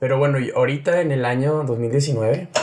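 A man with a Mexican accent speaks in a somewhat breathy, fairly high voice with ordinary pitch variation. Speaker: podcast host. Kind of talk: casual chat.

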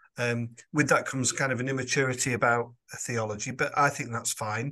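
Speaking at a moderate pace with fairly even intonation, a man with a Lancashire accent has a bright, sharp tone at a medium pitch against a quiet background. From Lancashire, northern England. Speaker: podcast host and parish priest. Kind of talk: interview.

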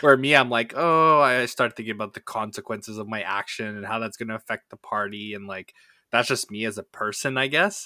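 The bright, sharp voice moves at a fairly quick pace with big swings in loudness, on a very clean recording with a silent background. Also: man, medium pitch for a man, ordinary pitch variation, dry, close sound with no echo. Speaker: tabletop game master and podcast co-host. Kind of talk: casual chat.

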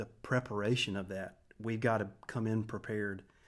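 This man has an unremarkable speaking voice, fairly low in pitch, with an American accent and a moderate pace. The recording is very clean, with a silent background. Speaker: worship pastor. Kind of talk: casual interview.

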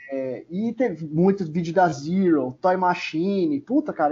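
A man's voice with very wide pitch swings. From São Paulo, Zona Leste. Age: 30s. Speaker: skateboarder and video magazine creator. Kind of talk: casual interview.

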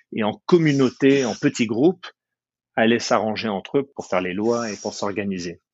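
This man has an ordinary speaking voice, medium in pitch, moving at a moderate pace with lively intonation. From France, moved to the US at 15. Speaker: business lawyer. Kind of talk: interview.

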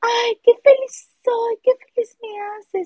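The put-on character voice moves along at a fairly slow pace. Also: woman. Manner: gushing, saccharine, mocking.

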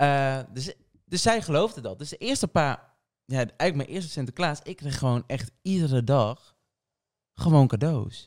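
A man with a fairly high pitch and a plain, everyday voice speaks at a moderate pace with lively intonation. The sound is dry and close with no echo, on a very clean recording with a silent background. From Portugal. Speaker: podcast co-host. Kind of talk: casual chat.

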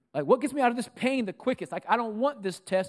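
A man speaks with very wide swings in pitch and an animated tone. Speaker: pastor. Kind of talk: sermon. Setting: church; stage with audience. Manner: animated, rousing preacher in full flow, pitching up with rhetorical questions; conversational, humorous, crowd-engaging.

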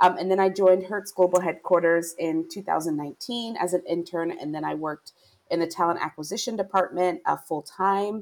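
With an American accent, a woman speaks in an unremarkable speaking voice at a medium pitch and moderate pace, her intonation fairly even. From Pennsylvania. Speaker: talent management professional. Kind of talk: interview.

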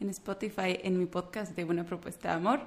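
A woman at a moderate pace with a Guatemalan accent. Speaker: clinical psychologist. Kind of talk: casual interview conversation.

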